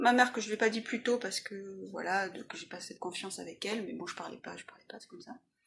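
Bright and sharp in tone, a woman's voice is pitched fairly high. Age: 40s. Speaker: illustrator. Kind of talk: personal testimony interview. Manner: halting.

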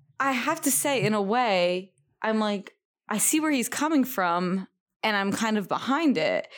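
A woman speaks in a normal speaking voice at a fairly high pitch and a fairly slow pace, with lively intonation. Her loudness stays very even, and the recording is very clean with a silent background. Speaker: podcast co-host. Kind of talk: casual chat.

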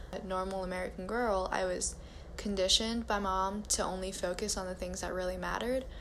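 A woman talks at a moderate pace with audible echo in the room. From US, Chinese American family. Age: young. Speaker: first-generation Chinese American sharing personal story. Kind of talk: prepared personal essay read aloud.

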